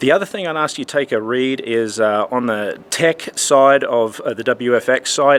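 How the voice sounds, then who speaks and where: A man with an Australian accent talks at a medium pitch with ordinary pitch variation. There is noticeable background noise. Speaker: church lighting technician and conference speaker. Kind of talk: promotional video message. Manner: casual, conversational.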